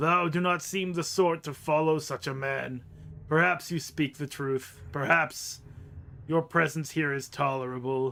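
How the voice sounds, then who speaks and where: Over clear background noise, a man puts on a resonant character voice at a fairly high pitch and a moderate pace. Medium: actual play. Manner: solemn archaic speech.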